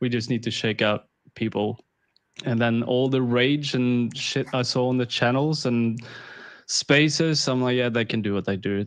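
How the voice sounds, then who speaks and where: With a slight Swedish accent, a man speaks at a moderate pace with ordinary pitch variation against a quiet background. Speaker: crypto investor. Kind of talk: casual interview.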